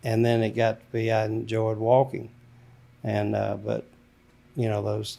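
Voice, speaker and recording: Pausing long and often, a man with an Alabama accent talks at a fairly slow pace. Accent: Southern US (Alabama). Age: 70s. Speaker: grandfather, military veteran. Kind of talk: interview. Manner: halting.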